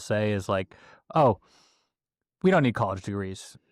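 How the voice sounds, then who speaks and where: Here a man speaks with an American accent. The sound is dry and close with no echo, on a very clean recording with a silent background. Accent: Boston accent, faint when sober. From Boston. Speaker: construction executive. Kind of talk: casual interview chat.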